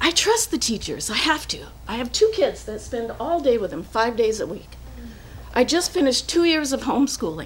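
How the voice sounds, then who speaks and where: At a moderate pace, a woman speaks with big swings in loudness, amid audible room echo and noticeable background noise. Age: 60s. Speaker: resident speaking at public comment. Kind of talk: public comment at a council meeting. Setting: city council meeting.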